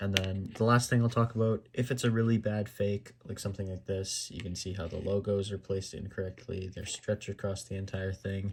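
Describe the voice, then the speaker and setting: A quiet man speaks fairly quickly in a fairly low, somewhat breathy voice with monotone, flat intonation. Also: hardly any pauses. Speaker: gaming YouTuber. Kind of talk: tutorial. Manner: halting, many fillers.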